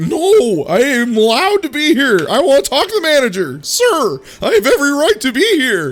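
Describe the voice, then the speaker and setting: A man uses a put-on character voice at an extremely high pitch. It makes very wide pitch swings at a moderate pace. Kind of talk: self-righteous. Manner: indignant, belligerent.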